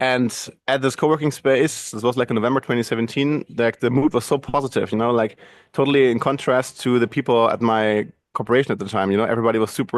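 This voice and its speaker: Over a quiet background, a man with a German accent talks at a very fast pace in a medium pitch, his intonation fairly even and the sound dry and close with no echo. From Germany. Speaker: video and podcast producer. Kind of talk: interview. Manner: halting.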